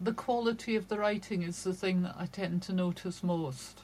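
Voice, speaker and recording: This woman speaks with a Shetland accent. Her voice is somewhat breathy, with ordinary pitch variation. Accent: Shetland Scottish. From Scotland, Shetland. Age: 60s. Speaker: crime novelist. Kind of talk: casual interview.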